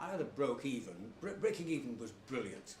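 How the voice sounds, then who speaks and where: Speaking very fast with ordinary pitch variation, a man is heard over noticeable background noise and audible room echo. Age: 70s. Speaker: tailor and former prisoner speaking at a club talk. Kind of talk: talk to an audience. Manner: halting, frequent fillers.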